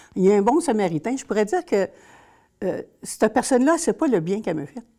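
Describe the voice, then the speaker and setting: A woman talks at a very fast pace with a dark, mellow tone and fairly high pitch. Her voice shows very wide pitch swings and big swings in loudness. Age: 60s. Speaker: social worker. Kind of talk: interview testimony. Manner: hesitant.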